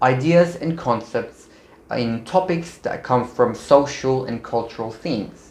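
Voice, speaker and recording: With a non-native accent, a man speaks at medium pitch in an upbeat tone. His intonation is lively. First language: not English. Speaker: medical student YouTuber. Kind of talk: vlog tutorial. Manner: casual, upbeat.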